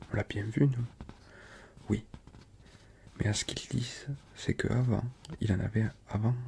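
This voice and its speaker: In a southern French accent, the speaker is soft-spoken and relaxed in tone, talking fairly slowly with long, frequent pauses. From Toulouse, France. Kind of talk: audiobook-style reading of a novella. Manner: soft-spoken, relaxed.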